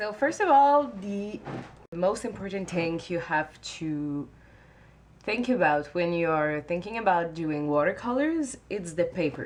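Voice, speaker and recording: Using lively intonation at a fairly slow pace, a woman with a fairly low pitch speaks in a French-Canadian accent. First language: not English. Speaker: watercolor artist. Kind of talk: tutorial talk to camera. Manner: hesitant, many filler sounds.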